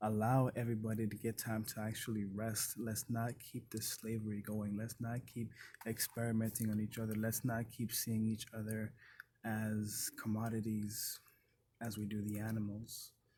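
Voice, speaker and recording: Somewhat breathy and dark, mellow in tone, a man speaks at a medium pitch and a moderate pace with monotone, flat intonation. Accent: Haitian. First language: Haitian Creole. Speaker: vlogger. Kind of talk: casual self-reflection monologue. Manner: unscripted, with frequent fillers.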